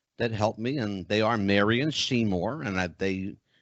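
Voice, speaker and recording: A man speaks with a Philadelphia accent at a fairly slow pace. His pitch is medium. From Philadelphia, US. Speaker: psychic medium and show host. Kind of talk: casual chat.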